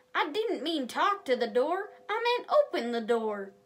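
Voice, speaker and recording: A woman puts on a character voice, pitched high with very wide pitch swings. She talks at a moderate pace. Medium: read story. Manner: authoritative, explanatory.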